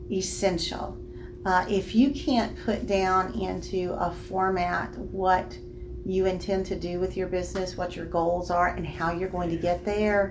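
There is audible room echo and noticeable background noise. A woman with a Southern US accent speaks at a fairly slow pace. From Alabama, Birmingham area. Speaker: bank loan officer. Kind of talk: interview.

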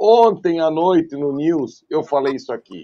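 A man with a fairly high pitch, at a fairly slow pace. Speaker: football pundit. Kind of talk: post-match football talk show. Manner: animated.

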